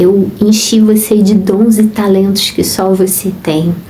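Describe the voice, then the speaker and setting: Over noticeable background noise and audible room echo, a woman speaks very slowly with monotone, flat intonation. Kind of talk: devotional talk. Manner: calm, gentle.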